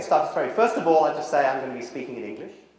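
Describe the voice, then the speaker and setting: A man with a British accent, over noticeable background noise. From Britain. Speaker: social psychology professor. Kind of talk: lecture. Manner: walks around while speaking.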